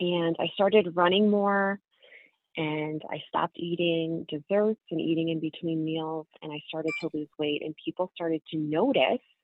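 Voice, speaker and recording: A woman's normal speaking voice, fairly low in pitch, with an American accent, fairly even intonation and a moderate pace. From US Northeast (northern New Jersey). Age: 30s. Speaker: nonprofit founder and author. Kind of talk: testimony.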